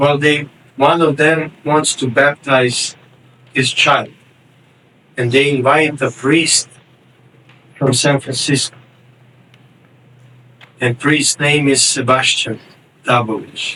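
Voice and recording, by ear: A man's bright, sharp tone at a slow pace, fairly even in intonation, broken by long, frequent pauses. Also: medium pitch for a man.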